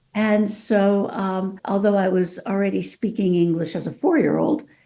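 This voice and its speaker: A woman with a Californian accent speaks at a moderate pace in a medium pitch with ordinary pitch variation. Her tone is dark and mellow, and the recording is very clean with a silent background. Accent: California. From Mexico City, then California. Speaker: author and lawyer. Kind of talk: podcast interview.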